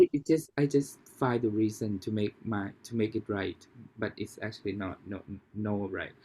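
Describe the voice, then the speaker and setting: With a Thai accent, a man speaks at a fairly low pitch in a dark, mellow tone. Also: ordinary pitch variation, moderate pace. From Thailand. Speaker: podcast host. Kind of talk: casual interview. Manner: halting, many restarts.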